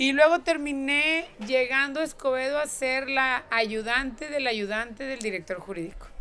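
A raised, projected voice with a bright, sharp tone, lively intonation, a fairly slow pace and hardly any pauses. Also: woman, high pitch for a woman. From northern Mexico (Nuevo León). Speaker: politician, gubernatorial candidate. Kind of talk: interview.

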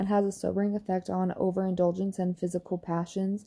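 Dark, mellow tone on a very clean recording with a silent background. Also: woman. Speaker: solo podcaster. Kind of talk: casual solo monologue, reading aloud. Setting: in bed at night, solo recording. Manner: rambling, filler-heavy, casual.

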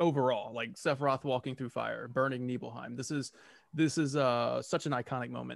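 In a normal speaking voice, a man talks at medium pitch with fairly even intonation. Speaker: podcast host. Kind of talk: casual interview chat. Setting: video call.

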